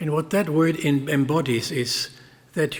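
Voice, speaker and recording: A man with a German accent and a fairly high pitch speaks with ordinary pitch variation against noticeable background noise. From Germany. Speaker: speaker at a memorial event. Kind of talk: speech at a memorial ceremony. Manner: formal.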